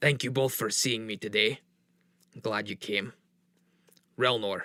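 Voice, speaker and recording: At a moderate pace, a man puts on a raspy character voice at a medium pitch. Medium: actual play. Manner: commanding.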